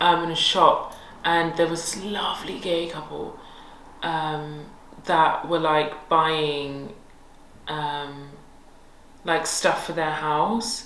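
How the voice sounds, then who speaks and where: Through noticeable background noise and audible room echo, a speaker with a London accent talks at a very slow pace with fairly even intonation and long, frequent pauses. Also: woman, very deep, low pitch for a woman. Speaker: podcast co-host. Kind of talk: casual chat.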